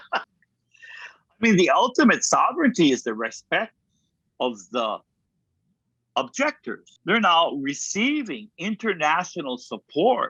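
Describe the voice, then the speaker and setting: In a Hawaiian accent, a man speaks at a fairly slow pace with long, frequent pauses. The sound is dry and close, with no echo. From Kauai, Hawaii. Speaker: kahuna, healer and teacher. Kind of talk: interview answer.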